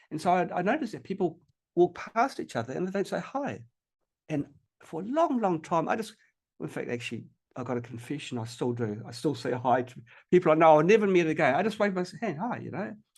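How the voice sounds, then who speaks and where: Against a quiet background, a man with a New Zealand accent speaks very fast at a fairly high pitch, his voice swinging very widely in pitch and showing vocal fry. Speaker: health technology researcher and inventor. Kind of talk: podcast interview. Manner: halting, many fillers and repetitions.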